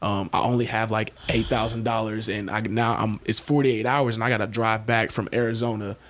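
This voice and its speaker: A man at a medium pitch, fairly quick and with hardly any pauses, in a monotone, flat delivery of very even loudness. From Shreveport, Louisiana, US South. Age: 20s. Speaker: former professional football player and entrepreneur. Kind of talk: casual interview chat.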